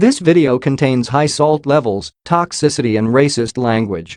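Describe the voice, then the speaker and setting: A man with a plain, everyday voice, medium pitch, lively intonation and a moderate pace. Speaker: gaming video narrator. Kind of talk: mock documentary narration.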